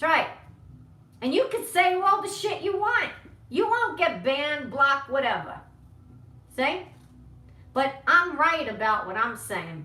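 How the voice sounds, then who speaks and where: A raised, projected voice speaks at a fairly slow pace in an animated tone, with very wide pitch swings and long, frequent pauses. Audible room echo surrounds it. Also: woman, high pitch for a woman. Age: 60s. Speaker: political vlogger. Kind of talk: live-stream rant. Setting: home live stream. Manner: confrontational.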